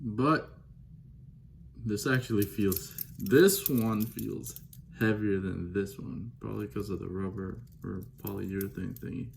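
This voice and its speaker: A man's fairly low voice with vocal fry, very wide pitch swings and big swings in loudness, at a fairly slow pace with long, frequent pauses, in audible room echo. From Belize. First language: Belizean Creole. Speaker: watch enthusiast unboxing. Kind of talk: casual unboxing vlog. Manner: casual, chatty, off-the-cuff.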